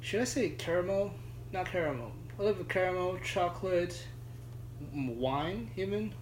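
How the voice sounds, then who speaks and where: A man with a fairly high pitch speaks at a moderate pace, somewhat breathy. His pitch swings very widely, and he takes long, frequent pauses. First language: not English. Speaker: judo practitioner and beer enthusiast. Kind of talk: casual chat.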